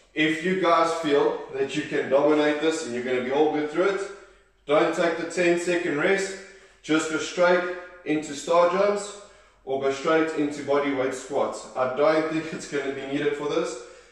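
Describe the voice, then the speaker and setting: Strong room echo surrounds a man's voice. He talks at a moderate pace with fairly even intonation. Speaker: fitness instructor. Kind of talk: workout instruction. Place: home room. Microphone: camera far.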